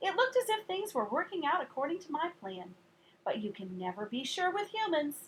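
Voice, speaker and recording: Using a squeaky, put-on character voice, a woman speaks fairly quickly at an extremely high pitch with very wide pitch swings. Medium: read story.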